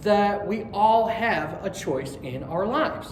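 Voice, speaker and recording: High-pitched speech from a man over noticeable background noise. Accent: American. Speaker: student pastor giving a sermon at a spiritualist church. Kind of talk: church sermon to a live congregation. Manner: casual, friendly, conversational.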